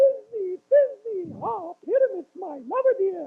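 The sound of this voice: A squeaky, put-on character voice from a man, extremely high in pitch, at a fairly slow pace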